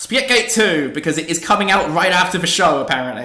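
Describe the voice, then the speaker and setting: A man talks at a very fast pace in a high pitch, his intonation lively. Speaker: gaming podcast host. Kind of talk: casual chat.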